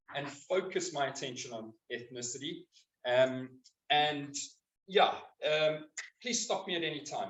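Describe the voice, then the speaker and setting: With a South African accent, a man talks at a fairly slow pace while his pitch swings very widely. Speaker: biokinetics practitioner. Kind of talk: public talk.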